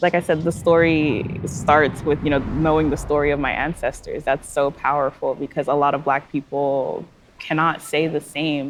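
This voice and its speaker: Monotone, flat intonation in a Californian accent, at a moderate pace with hardly any pauses. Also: woman, very deep, low pitch for a woman. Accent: Californian American English. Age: young. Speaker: journalist. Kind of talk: documentary interview answer.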